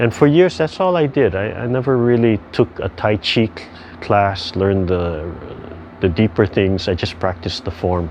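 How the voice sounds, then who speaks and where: Speaking with a Hawaiian accent, a man keeps a relaxed tone at a moderate pace. His pitch varies in an ordinary way, with noticeable background noise. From Hawaii (Hilo, Big Island). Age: 60s. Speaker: tai chi instructor. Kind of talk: casual talk about his background. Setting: video call. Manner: relaxed, halting with fillers.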